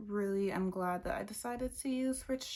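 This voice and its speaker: Soft-spoken, a woman talks at a fairly slow pace. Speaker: beauty vlogger. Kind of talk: makeup tutorial. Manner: casual.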